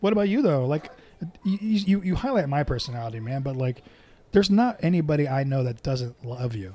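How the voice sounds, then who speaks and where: A somewhat breathy, dark, mellow voice moves at a fairly quick pace with very wide pitch swings. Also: man, fairly high pitch for a man. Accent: American. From Southern California. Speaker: podcast guest. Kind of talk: casual chat.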